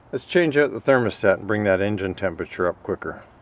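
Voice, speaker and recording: A man with a Canadian accent, dry sound with no echo. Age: 60s. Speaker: DIY car repair vlogger. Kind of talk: tutorial. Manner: casual, thinking aloud with hesitations. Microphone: phone near.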